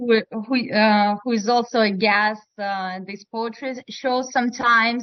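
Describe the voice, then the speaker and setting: Fairly even in intonation, the voice unfolds at a fairly slow pace. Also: woman. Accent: strong Russian. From Russia, Moscow. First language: Russian. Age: 30s. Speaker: poet. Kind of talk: casual chat. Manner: halting.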